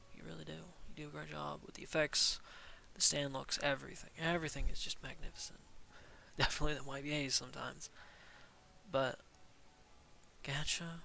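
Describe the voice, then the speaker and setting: Speaking at a fairly quick pace, a man leaves long, frequent pauses. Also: big swings in loudness. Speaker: gaming YouTuber. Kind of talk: game review commentary. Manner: monotone; hesitant with filler words.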